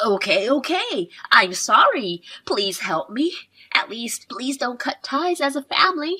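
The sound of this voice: Putting on a character voice, a woman speaks fairly slowly at a high pitch, with big pitch swings, a bright, sharp tone and a slightly husky edge.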